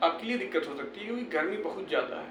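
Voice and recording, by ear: Against audible room echo, a man speaks in a fairly bright tone.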